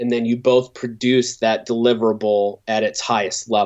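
With fairly even intonation, a man speaks at a medium pitch and a moderate pace. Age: 30s. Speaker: graphic design professor. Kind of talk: casual interview. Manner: hesitant, many fillers and repeats.

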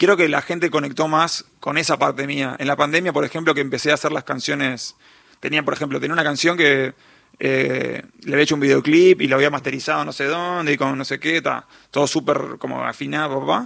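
A man's fairly high voice, fairly quick and bright, sharp in tone, with fairly even intonation and vocal fry. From Uruguay, Montevideo. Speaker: singer-songwriter. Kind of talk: radio interview.

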